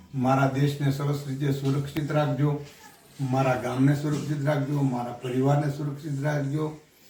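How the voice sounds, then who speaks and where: The voice is monotone and flat, heard with audible room echo and noticeable background noise. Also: man. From Gujarat, Bhavnagar district. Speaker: devotee. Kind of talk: testimony.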